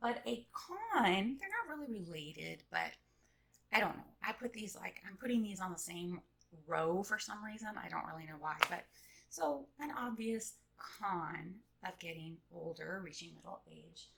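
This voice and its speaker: A woman speaks at a moderate pace in a medium pitch with lively intonation and vocal fry. Her loudness swings widely. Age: middle-aged. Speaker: vlogger. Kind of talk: casual monologue. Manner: hesitant, many fillers.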